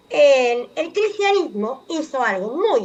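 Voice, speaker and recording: A woman's voice makes very wide pitch swings over noticeable background noise. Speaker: anthropologist columnist on radio. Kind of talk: radio column talk.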